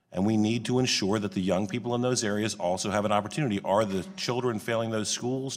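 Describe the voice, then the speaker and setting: Music plays behind a man with an American accent who talks very fast, with a fairly low pitch and ordinary pitch variation. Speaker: congressman at a hearing. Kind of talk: committee hearing questioning. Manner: formal.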